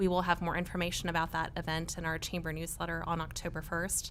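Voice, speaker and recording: A woman with a fairly low pitch speaks monotone and flat at a fairly quick pace with vocal fry. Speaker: chamber of commerce representative. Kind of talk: public comment at city meeting. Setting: city commission meeting.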